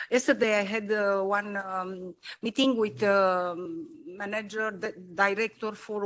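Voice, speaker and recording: A woman with a Romanian accent speaks at a moderate pace. Her pitch is medium and her intonation fairly even. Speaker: politician. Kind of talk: panel discussion. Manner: halting.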